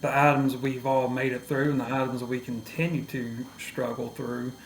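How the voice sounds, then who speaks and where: A man's medium-pitched voice with an East Texas accent, flat monotone intonation and a moderate pace. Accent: Southern East Texas. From East Texas, near Louisiana/Arkansas border. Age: 30s. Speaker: podcast guest. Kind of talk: personal testimony in interview.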